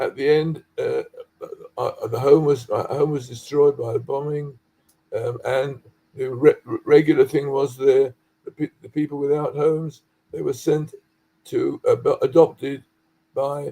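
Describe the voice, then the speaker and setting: A man speaks at a moderate pace in a London accent. He leaves long, frequent pauses and his loudness swings a lot. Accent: British English, London. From London, England. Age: 80s+. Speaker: dye chemist, researcher. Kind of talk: interview, personal history. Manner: halting.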